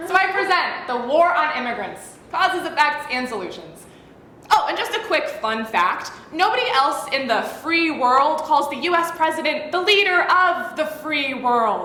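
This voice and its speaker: With a high pitch and a raised, projected voice, a woman speaks with lively intonation over noticeable background noise and audible room echo. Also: moderate pace. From northern England, moved to US at ten. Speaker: college speech competitor. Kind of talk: competitive comedic speech.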